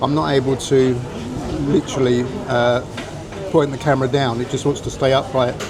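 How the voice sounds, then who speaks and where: Noticeable background noise and audible room echo surround a man speaking at a fairly high pitch with an English accent. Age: 60s. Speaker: retired travel vlogger. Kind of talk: casual vlog narration. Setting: restaurant, then outdoors on the street. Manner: halting, with many fillers.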